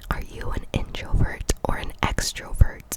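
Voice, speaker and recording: Background noise is noticeable. A woman whispers over it. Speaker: ASMR creator. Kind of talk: whispered ASMR Q&A chat. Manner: whispered, soft-spoken.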